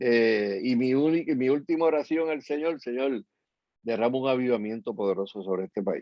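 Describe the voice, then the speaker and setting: The speaker has a plain, everyday voice and keeps a moderate pace. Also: man, medium pitch for a man, ordinary pitch variation. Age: 60s. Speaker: pastor and activist. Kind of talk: interview.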